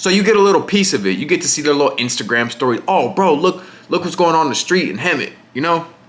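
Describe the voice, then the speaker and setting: Very fast and lively in intonation, a man with an American accent and fairly high pitch speaks over noticeable background noise. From Riverside, California (Inland Empire). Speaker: content creator. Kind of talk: casual Q&A monologue. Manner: casual, filler-heavy.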